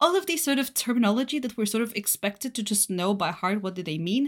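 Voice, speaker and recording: A woman with a Bulgarian accent talks at a very fast pace with a fairly high pitch and lively intonation. The recording is very clean, with a silent background. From Bulgaria, Varna. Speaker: solution engineer. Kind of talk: casual interview.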